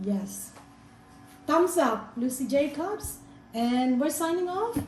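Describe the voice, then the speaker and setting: Over music in the background and audible room echo, a woman speaks very slowly in a high pitch with lively intonation. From Philippines. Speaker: vlogger. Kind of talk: casual interview.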